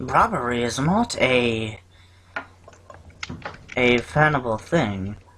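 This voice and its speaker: A man's put-on character voice, medium in pitch, fairly slow, with long, frequent pauses. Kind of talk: comic overacting. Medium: actual play. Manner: prim, official, slightly pompous.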